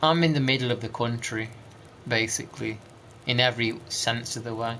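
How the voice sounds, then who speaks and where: A man with an East Midlands accent, medium in pitch, at a fairly quick pace with fairly even intonation. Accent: East Midlands accent, considered northern. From East Midlands, England. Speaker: video game streamer. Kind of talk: casual live-stream chat with gameplay commentary.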